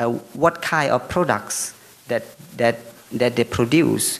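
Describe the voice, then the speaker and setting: A man talks at medium pitch while noticeable background noise fills the recording. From Laos. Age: young. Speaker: forestry lecturer and researcher. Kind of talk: conference presentation. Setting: forum with audience. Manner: halting.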